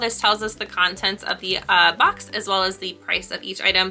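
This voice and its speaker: A woman speaks with music in the background. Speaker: quilting YouTuber. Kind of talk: product unboxing review. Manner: fast.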